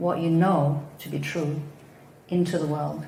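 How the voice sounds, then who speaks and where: A woman at a fairly slow pace with a very deep, low pitch and ordinary pitch variation, amid noticeable background noise and audible room echo. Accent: Danish. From Denmark. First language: Danish. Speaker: psychotherapist. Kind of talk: talk on spiritual teaching.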